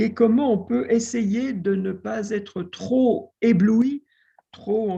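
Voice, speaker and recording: A man with a dark, mellow tone. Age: 60s. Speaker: literature scholar and author. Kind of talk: interview talk. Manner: hesitant, many filler sounds.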